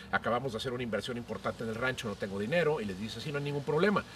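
A man talks at a medium pitch with ordinary pitch variation. It is an ordinary speaking voice. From Monterrey, northeastern Mexico. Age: 50s. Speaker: podcast host, cook and columnist. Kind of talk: casual chat. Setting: at home, outdoors in garden.

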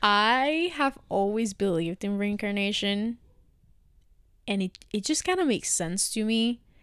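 Fairly high-pitched and lively in intonation, a woman with a Spanish accent speaks at a fairly slow pace on a very clean recording with a silent background. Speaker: podcast co-host. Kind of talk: casual chat.

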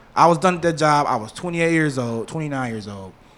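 The man's tone is bright and sharp. He speaks at a moderate pace with lively intonation. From west side of Detroit. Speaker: podcast co-host. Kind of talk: casual chat.

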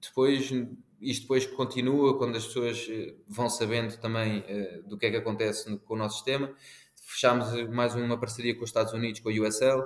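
A man speaks at a medium pitch in a monotone, flat intonation. His pace is fairly quick, broken by long, frequent pauses. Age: 30s. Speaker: sports tech business manager. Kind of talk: podcast interview. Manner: halting, many repetitions.

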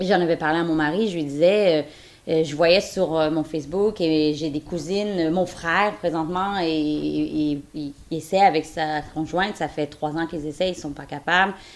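A woman's very deep, low pitch, fairly even intonation, fairly slow pace. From Quebec. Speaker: surrogate mother. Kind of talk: testimony.

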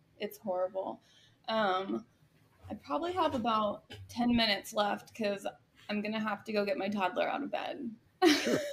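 Against noticeable background noise, a woman with an American accent and a fairly high pitch uses lively intonation and long, frequent pauses. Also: moderate pace. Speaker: podcast guest, artist and podcaster. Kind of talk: casual interview conversation. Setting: remote recording.

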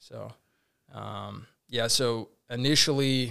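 A man's bright, sharp voice at a medium pitch, with an American accent, on a very clean recording with a silent background. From Tucson, Arizona. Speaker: Marine Corps officer. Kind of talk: interview.

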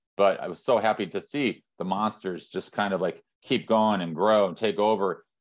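Speaking with a Midwestern American accent, a man uses a fairly low pitch and fairly even intonation at a moderate pace. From Northern Indiana. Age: 50s. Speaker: sports marketing executive. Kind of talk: interview. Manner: halting.

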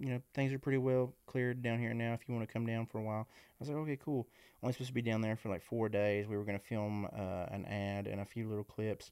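In a very clean recording with a silent background, a man with an American accent talks fairly quickly at a medium pitch. His intonation is fairly even, and he has an ordinary speaking voice. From West Virginia, US. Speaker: content creator. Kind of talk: casual interview chat.

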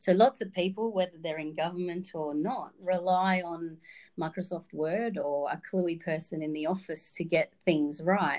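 In an Australian accent, a woman talks with a fairly low voice and ordinary pitch variation. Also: moderate pace. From Victoria, Australia (Wodonga, rural border region). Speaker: communications trainer. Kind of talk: podcast interview.

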